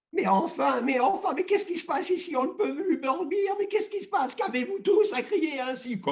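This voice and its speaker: Putting on a character voice, a man speaks at a fairly quick pace with an extremely high pitch. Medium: read story. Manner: sly, playful.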